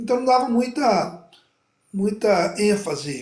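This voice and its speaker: Speaking very slowly, a man's voice carries audible room echo. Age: 50s. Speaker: pastor and gospel singer. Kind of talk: interview testimony. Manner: halting, many fillers.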